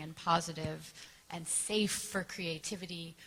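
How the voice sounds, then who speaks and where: Speaking fairly slowly with a Canadian accent, a woman uses ordinary pitch variation. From Canada. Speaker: actress. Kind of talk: press panel answer. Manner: casual, hesitant.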